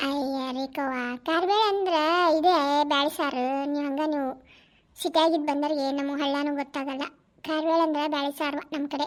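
A woman performs a put-on character voice, high-pitched with fairly even intonation. She speaks at a moderate pace. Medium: voice reel. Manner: blunt, earthy.

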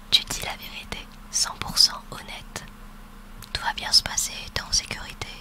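At a very slow pace, a woman speaks in a whisper. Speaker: ASMR roleplay creator. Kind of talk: soft roleplay talk to listener. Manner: soft close-mic ASMR voice. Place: home room. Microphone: studio mic.

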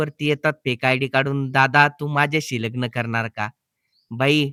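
A man's bright, sharp tone comes through dry and close with no echo, his intonation fairly even. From Maharashtra, Jalna district. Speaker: YouTuber. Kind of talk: vlog talking to viewers.

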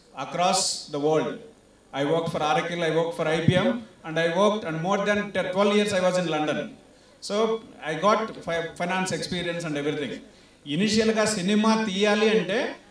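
With audible room echo around him, a man talks at a high pitch with ordinary pitch variation. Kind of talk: event speech. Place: stage. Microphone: handheld.

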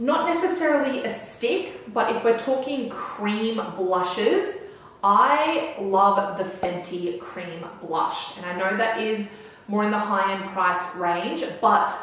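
A woman at a very slow pace, amid strong room echo. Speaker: beauty vlogger. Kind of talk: casual vlog chat. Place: home room.

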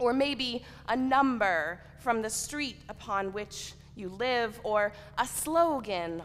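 A woman's high voice at a very slow pace over light background noise. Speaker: preacher. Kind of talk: sermon. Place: church.

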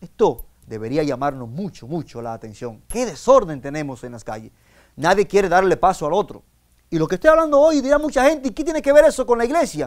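Against a quiet background, a man talks at a fairly quick pace in a high voice, with very wide pitch swings and big swings in loudness. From Dominican Republic. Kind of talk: sermon. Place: studio.

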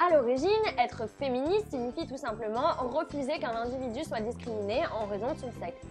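A woman's high voice with big swings in loudness and a fairly quick pace, clear music in the background. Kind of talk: opinion commentary vlog. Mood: ironic, sarcastic. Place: home room. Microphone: lapel.

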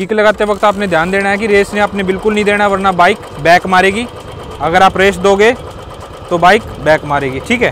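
Speech comes at a moderate pace over light background noise. The sound is dry, with no echo. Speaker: riding instructor. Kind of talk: tutorial. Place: street.

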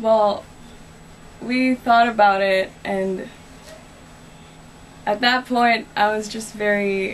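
Light background noise sits under a woman speaking at a very slow pace in a monotone, flat intonation. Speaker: interviewee. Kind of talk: interview answer. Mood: earnest, slightly aggrieved. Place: home room. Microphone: camera far.

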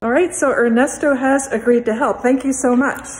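The pace is fairly quick. A woman is the speaker. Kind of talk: casual vlog chat. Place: hall. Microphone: phone near.

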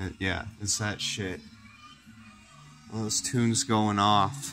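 With music in the background, a man speaks very slowly at a fairly low pitch. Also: ordinary pitch variation. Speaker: amateur cooking vlogger. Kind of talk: casual talk to camera. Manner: rambling, profane, laid-back.

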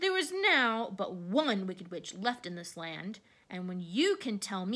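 Someone reads a text out. It is plain reading aloud.

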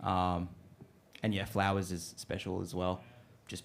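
A man with an Australian accent, a very deep, low pitch and a fairly quick pace. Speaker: rock band member. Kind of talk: casual interview. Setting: studio. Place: studio. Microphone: handheld.

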